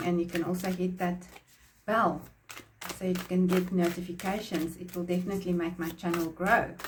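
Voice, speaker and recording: Audible room echo surrounds a woman's medium-pitched voice. She speaks at a moderate pace. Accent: Afrikaans South African. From South Africa. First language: Afrikaans. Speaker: tarot reader and painter. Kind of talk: tarot reading.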